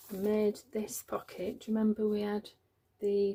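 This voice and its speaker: A soft-spoken woman talks at a moderate pace. Her pitch sits in the medium range. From Yorkshire, northern England. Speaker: journaling crafter. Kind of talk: craft tutorial.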